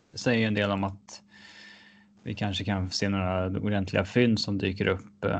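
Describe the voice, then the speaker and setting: Against a quiet background, a man speaks in a fairly low voice at a moderate pace. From Sweden, Gothenburg. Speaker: sports podcast co-host. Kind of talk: casual hockey discussion.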